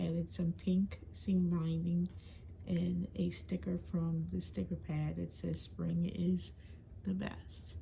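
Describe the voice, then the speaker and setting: Whispering at a very slow pace. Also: woman. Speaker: crafter showing swap items. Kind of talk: show-and-tell video. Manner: hesitant, many fillers.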